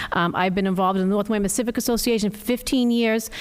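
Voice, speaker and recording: The woman's intonation stays fairly even. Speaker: town council candidate. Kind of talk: candidate statement at public forum. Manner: fast.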